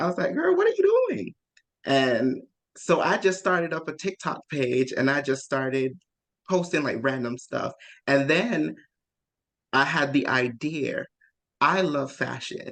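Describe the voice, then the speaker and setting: Long, frequent pauses interrupt talking that is fairly slow overall. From outside the US (immigrant). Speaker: social media content creator. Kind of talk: workshop presentation. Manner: casual, conversational.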